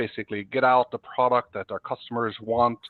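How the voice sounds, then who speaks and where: Monotone and flat in intonation, a man talks at a moderate pace. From Norway. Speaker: software executive. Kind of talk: podcast interview.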